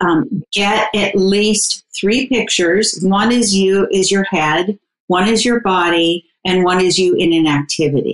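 A woman with an unremarkable speaking voice talks at a fairly slow pace and medium pitch, with ordinary pitch variation. Her loudness stays very even, and she hardly pauses. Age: 60s. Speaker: dating coach. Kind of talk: casual interview.

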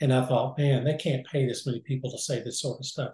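Somewhat breathy and dark, mellow in tone, a man speaks at a fairly high pitch in a monotone with flat intonation. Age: 70s. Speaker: businessman, former orthopedic assistant. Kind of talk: interview.

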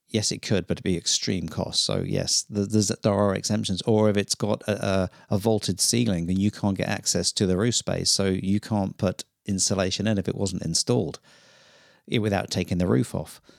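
In a British accent, a man talks at a moderate pace with fairly even intonation and a fairly low pitch, on a very clean recording with a silent background and a dry, close sound with no echo. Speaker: plumber and gas fitter. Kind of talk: casual chat.

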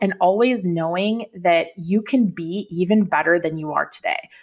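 With an American accent, a woman talks at a medium pitch with ordinary pitch variation in an unremarkable speaking voice. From Minnesota. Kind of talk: interview conversation.

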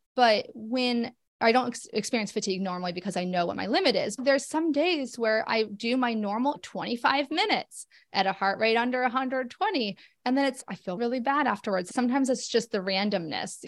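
A woman talks at a fairly quick pace in a plain, everyday voice. Her fairly high pitch carries lively intonation. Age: 40s. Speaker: occupational therapist living with rheumatoid arthritis. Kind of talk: interview.

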